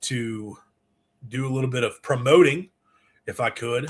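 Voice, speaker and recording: His voice is somewhat breathy and sits at a medium pitch. The man keeps a moderate pace. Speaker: sports show host. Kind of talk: live call-in show talk. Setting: live stream with screen share. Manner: halting, stammering.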